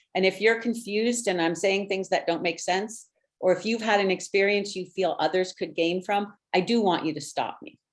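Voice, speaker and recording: In an American accent, a woman with a medium pitch and ordinary pitch variation speaks at a moderate pace in a normal speaking voice. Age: 60s. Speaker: educator and guest speaker. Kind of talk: presentation.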